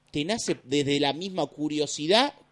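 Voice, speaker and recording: Speaking at a fairly slow pace, a man is heard in a dry, close sound with no echo. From Argentina, Lanús (Buenos Aires). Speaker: radio host. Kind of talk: casual chat.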